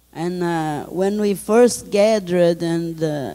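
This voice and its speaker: A woman speaks in a Brazilian Portuguese accent with a dark, mellow tone. Her pitch is fairly low, with ordinary pitch variation. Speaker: spiritual community leader. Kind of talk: interview answer.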